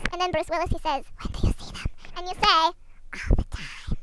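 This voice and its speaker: A squeaky, whispering put-on character voice at a fairly quick pace, with clear background noise. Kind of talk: mock-academic comic lecture. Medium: comedy sketch. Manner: deadpan.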